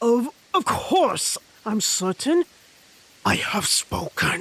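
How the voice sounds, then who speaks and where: Spoken at a very slow pace, this put-on character voice sits at a fairly high pitch. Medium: audio drama. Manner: grandiose, formal pronouncements.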